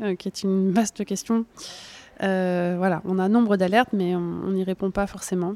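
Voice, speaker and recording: In a dry, close recording with no echo, a woman speaks at a medium pitch and moderate pace with fairly even intonation. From France, Burgundy. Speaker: journalist and author. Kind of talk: interview. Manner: halting.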